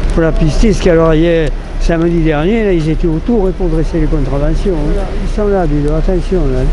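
There is noticeable background noise as a high-pitched man talks at a fairly quick pace. His intonation is fairly even and his loudness very even. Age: 80s+. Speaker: elderly market gleaner. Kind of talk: casual chat. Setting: outdoors. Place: street. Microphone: phone near.

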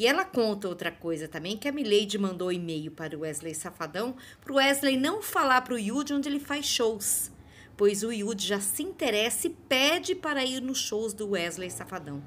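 The pace is moderate. Pitch swings very widely. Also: woman, fairly high pitch for a woman. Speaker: celebrity news youtuber. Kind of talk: celebrity gossip commentary.

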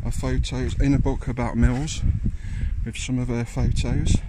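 A man talks fairly slowly amid loud background noise, the sound dry with no echo. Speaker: urban explorer vlogger. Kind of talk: casual vlog chat. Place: factory. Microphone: phone near.

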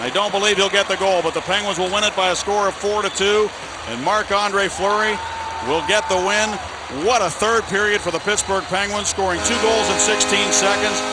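There is noticeable background noise behind this man. He speaks at a high pitch in an excited tone. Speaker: hockey play-by-play announcer. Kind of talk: live play-by-play commentary. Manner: rapid, excited, rising on goals.

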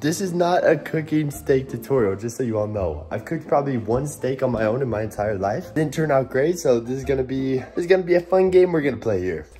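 Faint music plays in the background. A man talks at a very fast pace with hardly any pauses. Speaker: vlogger. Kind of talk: casual vlog chat. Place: kitchen. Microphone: phone near.

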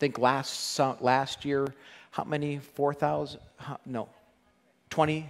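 The delivery is monotone with flat intonation and a very slow pace. Long pauses come often. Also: man. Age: 50s. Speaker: pastor. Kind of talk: sermon. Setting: church. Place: church.

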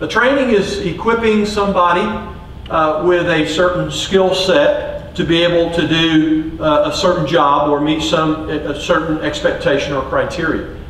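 A man's high voice at a moderate pace with ordinary pitch variation, light background noise and audible room echo. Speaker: coach giving a talk. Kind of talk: lecture. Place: stage.

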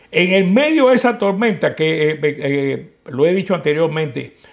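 Against a quiet background, a man with a high pitch speaks at a moderate pace with lively intonation. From Cuba, Santiago de Cuba; Cuba. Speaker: political activist, Cuban exile; interviewee. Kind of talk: interview. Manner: halting, many repetitions. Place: office. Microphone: lapel.

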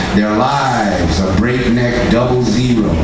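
Very slow speech amid loud background noise and audible room echo. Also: man. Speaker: poet. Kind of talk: poetry reading. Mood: grave, indignant. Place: stage. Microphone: pa.

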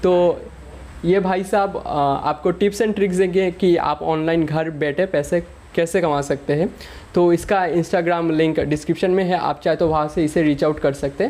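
Ordinary pitch variation and a moderate pace in a man's high voice. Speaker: vlogger introducing a friend. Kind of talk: casual vlog chat. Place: home room. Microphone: phone near.

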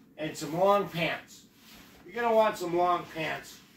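A man at a fairly slow pace with ordinary pitch variation, light background noise and audible room echo. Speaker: travel vlogger. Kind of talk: casual vlog chat. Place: home room. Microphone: camera far.

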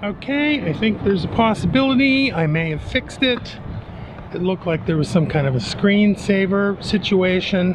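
The speech keeps a moderate pace. Noticeable noise fills the background. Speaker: vlogger. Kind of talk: casual vlog chat. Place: waterside. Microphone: phone near.

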